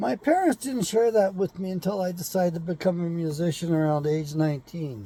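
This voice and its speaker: A man with a high pitch talks at a fairly quick pace, hardly pausing at all. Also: ordinary pitch variation. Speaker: online talk show host. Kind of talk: casual monologue.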